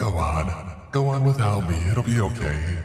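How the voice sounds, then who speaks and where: A man's put-on character voice, fairly low in pitch, at a moderate pace with a clear echo. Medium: read story. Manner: disjointed, echoing nonsense phrases.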